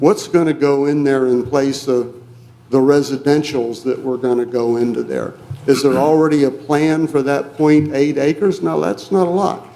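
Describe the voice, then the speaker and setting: In an American accent, a man speaks with a fairly high pitch and ordinary pitch variation. Room echo can be heard. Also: moderate pace. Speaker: resident speaking at public hearing. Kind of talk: public comment at council meeting. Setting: city council meeting. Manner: soft-spoken.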